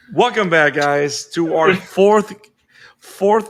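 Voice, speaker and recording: A man's fairly high-pitched voice comes out at a very slow pace. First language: Spanish. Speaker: podcast host. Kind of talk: casual chat. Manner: animated.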